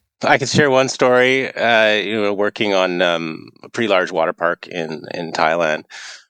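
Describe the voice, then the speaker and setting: An ordinary speaking voice with a Canadian accent moves at a moderate pace with hardly any pauses. The intonation is lively, and the sound is dry and close with no echo. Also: man, fairly low pitch for a man. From Eastern Canada. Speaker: wave pool engineer. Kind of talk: interview.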